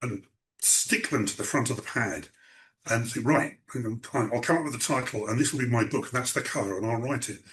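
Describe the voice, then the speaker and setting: Speaking with an English accent, a man talks at a fairly quick pace in a medium pitch with ordinary pitch variation. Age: 60s. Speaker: writer. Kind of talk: interview. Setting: video call. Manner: halting.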